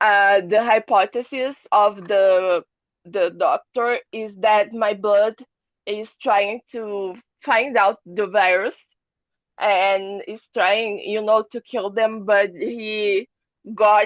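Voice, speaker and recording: Very slow, fairly evenly intoned speech from a woman at a medium pitch. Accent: Portuguese. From Brazil. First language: Portuguese. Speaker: long covid patient. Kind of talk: testimony. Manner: halting.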